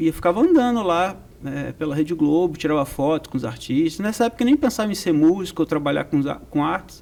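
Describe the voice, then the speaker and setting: A man in a Rio de Janeiro accent, high-pitched and lively in intonation, at a very fast pace with hardly any pauses. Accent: carioca. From Rio de Janeiro, Brazil. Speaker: percussion professor. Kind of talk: interview.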